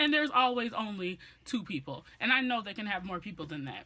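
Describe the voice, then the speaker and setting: Loud and animated, a woman speaks at a moderate pace with a bright, sharp tone and lively intonation. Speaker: beauty and lifestyle vlogger. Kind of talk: story time vlog.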